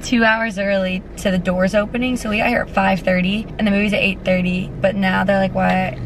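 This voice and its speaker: Speaking at a moderate pace in a monotone, flat intonation with very even loudness, a woman is heard in a dry sound with no echo amid noticeable background noise. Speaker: vlogger. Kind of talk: casual vlog chat. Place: car. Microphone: phone near.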